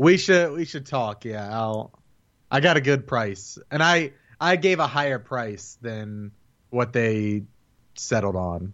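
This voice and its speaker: This man's voice sits at a medium pitch with lively intonation. He speaks at a very slow pace. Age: 20s. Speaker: podcaster and video editor. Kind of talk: casual chat.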